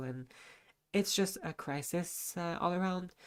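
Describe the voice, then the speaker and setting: With a non-native accent, a woman talks at a moderate pace in a very clean recording with a silent background. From Lebanon. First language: not English. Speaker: charity stream co-host. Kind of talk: live charity stream. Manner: halting, many fillers.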